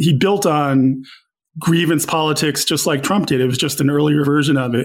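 In an American accent, a man with a normal speaking voice talks at a fairly quick pace, his fairly high pitch kept in fairly even intonation. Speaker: newspaper columnist and author. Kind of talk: interview conversation.

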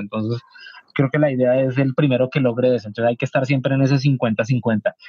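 A man speaks in a normal speaking voice at medium pitch, with ordinary pitch variation. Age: 30s. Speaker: video game writer. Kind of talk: casual chat.

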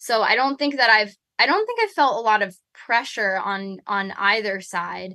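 A woman speaks with an American accent. Her tone is bright and sharp, with a fairly high pitch. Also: ordinary pitch variation, moderate pace. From New York City. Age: 20s. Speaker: musician, band member. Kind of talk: casual interview chat. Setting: tour bus, video call.

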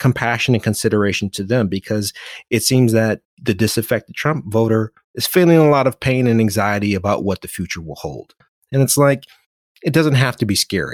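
In an ordinary speaking voice with an American accent, a man talks fairly quickly at a medium pitch with lively intonation, the sound dry and close with no echo. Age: 40s. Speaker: author and motivational speaker. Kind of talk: casual interview chat.

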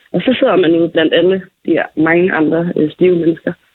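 A woman with an unremarkable speaking voice talks at a fairly quick pace in a fairly low pitch. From Falster, Denmark. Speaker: friend acting as correspondent. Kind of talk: casual chat.

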